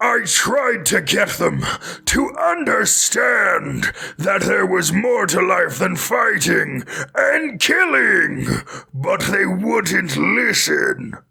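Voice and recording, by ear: Very slowly, a man speaks in a put-on character voice.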